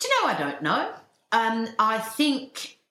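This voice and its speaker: Audible room echo surrounds a woman's voice. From England, moved to Tasmania at 15. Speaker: novelist and TV producer. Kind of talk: interview.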